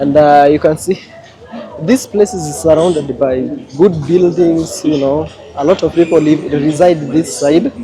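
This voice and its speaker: With a Kenyan accent, a man talks at a fairly slow pace and ordinary pitch variation. Background noise is noticeable. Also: fairly high pitch for a man. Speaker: travel vlogger. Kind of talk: casual vlog narration. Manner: animated.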